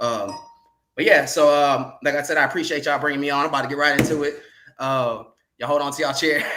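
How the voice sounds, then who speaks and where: A man's fairly high voice at a very fast pace, monotone and flat, with audible room echo. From California. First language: sign language. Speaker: podcast panel guest. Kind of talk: casual panel discussion. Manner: halting, many fillers.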